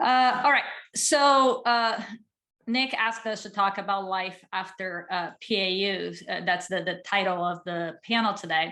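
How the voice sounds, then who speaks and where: A woman speaks at a moderate pace in a medium pitch, her bright, sharp tone carrying ordinary pitch variation. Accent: Portuguese. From Brazil. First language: Portuguese. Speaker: psychologist, former management consultant. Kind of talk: panel talk.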